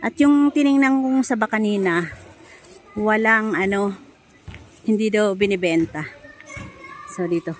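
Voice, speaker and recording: Over noticeable background noise, a woman with a medium pitch speaks at a fairly slow pace, using lively intonation and long, frequent pauses. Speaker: vlogger, overseas domestic worker. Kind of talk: casual vlog narration. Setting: outdoors.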